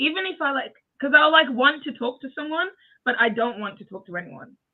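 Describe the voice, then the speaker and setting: A British accent comes through. The delivery runs at a moderate pace. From UK. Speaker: interview guest. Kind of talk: casual chat.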